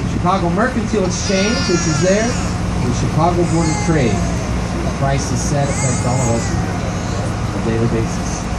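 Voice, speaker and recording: The pace is moderate. A man speaks over loud background noise. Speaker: boat tour guide. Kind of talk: tour commentary. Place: boat.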